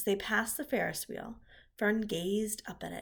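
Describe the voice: The plain reading aloud follows fairly even intonation.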